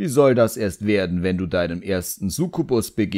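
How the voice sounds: Lively intonation in a natural reading voice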